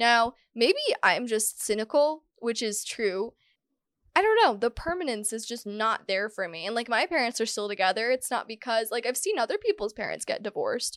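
Delivered at a moderate pace with lively intonation, a plain, everyday voice comes through in a dry, close sound with no echo. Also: woman, fairly high pitch for a woman. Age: 20s. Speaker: podcast host. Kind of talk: casual solo monologue. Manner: casual, conversational.

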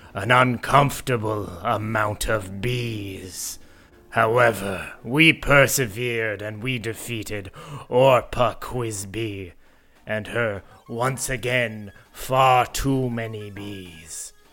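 Speaking at a very slow pace, a man keeps to a medium pitch. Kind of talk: grave formal fantasy speech. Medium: actual play. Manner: solemn, deadpan, no contractions.

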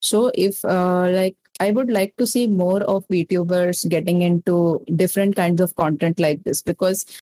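A woman with an Indian accent speaks in a dark, mellow tone at a fairly slow pace, with fairly even intonation and very even loudness. She leaves hardly any pauses, and the sound is dry and close with no echo. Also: medium pitch for a woman. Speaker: VTuber content creator. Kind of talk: casual interview.

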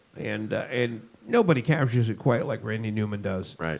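A man speaks with a Boston accent. His pace is fairly quick. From US Northeast (Boston area). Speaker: podcast co-host. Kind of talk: casual chat.

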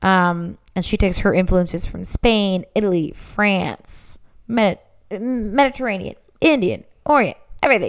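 A woman with an ordinary speaking voice, a medium pitch, a moderate pace and ordinary pitch variation. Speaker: podcast host. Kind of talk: casual chat. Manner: loud.

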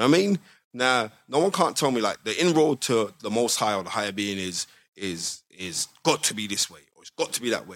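Very fast delivery in a South London accent, with very wide pitch swings and a dry, close sound free of echo. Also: man. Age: 40s. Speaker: boxing historian and pundit. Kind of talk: casual chat. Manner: animated.

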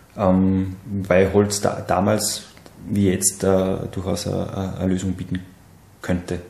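Amid noticeable background noise and audible room echo, a man with a very deep, low pitch speaks very slowly in a monotone, flat intonation. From Salzburg region, Austria (Seekirchen am Wallersee). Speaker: wood industry engineer, alumnus. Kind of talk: casual interview. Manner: halting, many fillers and repetitions.

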